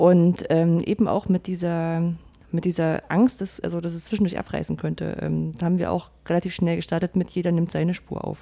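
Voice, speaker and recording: A woman speaks at a moderate pace with a fairly low pitch. Her tone is dark and mellow, her intonation monotone and flat. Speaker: podcaster. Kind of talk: casual chat.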